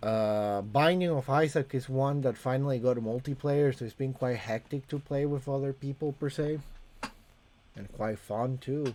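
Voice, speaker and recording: With a Latin American accent, a man speaks in a dark, mellow tone and a fairly even intonation. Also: medium pitch for a man, moderate pace. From Costa Rica. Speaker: gaming streamer. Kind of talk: live stream chat. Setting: home streaming room with camera.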